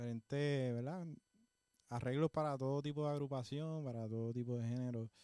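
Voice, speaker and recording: With a dark, mellow tone, a man speaks at medium pitch and with ordinary pitch variation. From Puerto Rico, Juana Díaz. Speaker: musician and music teacher. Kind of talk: interview. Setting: studio.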